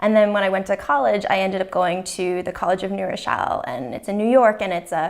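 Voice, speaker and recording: This woman speaks with an American accent at a medium pitch, showing ordinary pitch variation and vocal fry. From Massachusetts, Cape Cod. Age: 30s. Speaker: interviewee. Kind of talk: personal testimony interview. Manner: casual, many fillers (um, like).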